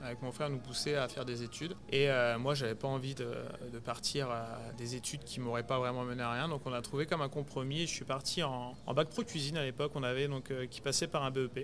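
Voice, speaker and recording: Over music in the background, a man speaks fairly quickly. His medium pitch keeps fairly even intonation. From Burgundy, France (rural Yonne). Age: 30s. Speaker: executive chef. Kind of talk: interview conversation. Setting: restaurant, in person. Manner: hesitant, many fillers.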